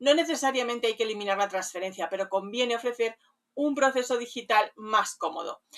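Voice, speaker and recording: Fairly high for a woman, her voice is an ordinary speaking voice with ordinary pitch variation, and she talks at a fairly quick pace. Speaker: community manager specialized in rural lodging, radio host. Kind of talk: professional consulting review of a website, talking to camera.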